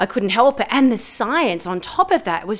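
The speaker has an Australian accent. Delivery comes at a moderate pace with lively intonation. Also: woman. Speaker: composer and pianist. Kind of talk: interview.

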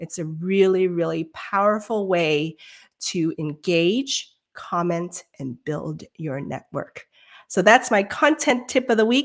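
A woman speaks at a very slow pace and a medium pitch, with very wide pitch swings and big swings in loudness. The recording is very clean, with a silent background. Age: 40s. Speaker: live show host. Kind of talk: live stream interview. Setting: live stream.

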